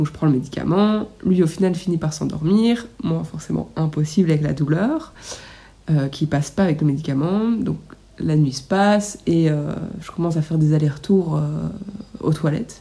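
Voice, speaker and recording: The voice is somewhat breathy, with a dark, mellow tone. It moves at a moderate pace. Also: woman, very deep, low pitch for a woman, ordinary pitch variation. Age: 20s. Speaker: nail technician sharing birth story. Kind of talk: testimony.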